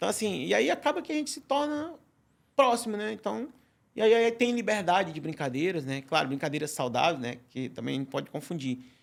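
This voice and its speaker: Speaking at a fairly quick pace with a Ceará accent, a man uses a high pitch with very wide pitch swings. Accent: Ceará accent, still noticeable. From Ceará, Brazilian Northeast. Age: 40s. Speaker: chef. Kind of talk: podcast interview. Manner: halting, many repetitions.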